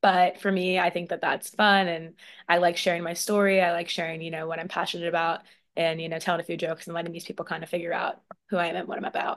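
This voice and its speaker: Flat, monotone intonation with an American accent runs at a very fast pace over a quiet background. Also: woman, fairly low pitch for a woman. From US, military family. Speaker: beauty pageant titleholder. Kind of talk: interview.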